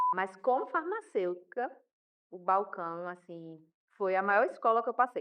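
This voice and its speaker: A woman with a strong Paraíba accent, lively intonation and a fairly slow pace. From Paraíba, northeast Brazil. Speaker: pharmacist and professor. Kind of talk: podcast interview.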